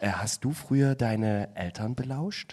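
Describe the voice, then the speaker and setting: A man talks in a normal speaking voice at medium pitch with ordinary pitch variation. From Saxony, Chemnitz. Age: 30s. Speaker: podcast guest. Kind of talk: casual chat.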